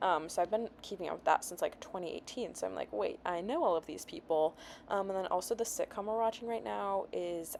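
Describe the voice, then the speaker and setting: A woman talks at a fairly quick pace with hardly any pauses. Her pitch is medium, with ordinary pitch variation. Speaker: vlogger. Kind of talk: casual chat to camera. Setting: at home, her bedroom. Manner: fast.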